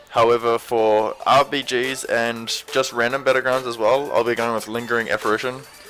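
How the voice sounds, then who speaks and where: Music sounds behind the speaker. He is a man talking at a fairly quick speed. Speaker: gaming video creator. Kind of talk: tutorial. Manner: monotone; wavy nervous.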